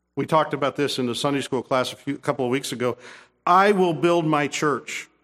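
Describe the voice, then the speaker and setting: A man with an American accent uses a plain, everyday voice, fairly high in pitch, at a moderate pace with ordinary pitch variation, in a very clean recording with a silent background. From Kansas, US (Topeka). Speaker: pastor. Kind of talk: sermon.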